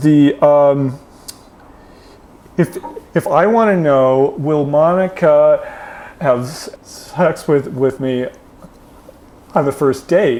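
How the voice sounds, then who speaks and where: Very slow delivery with ordinary pitch variation and long, frequent pauses over noticeable background noise. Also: man, fairly high pitch for a man. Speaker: speaker giving a talk. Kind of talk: public talk. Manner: halting.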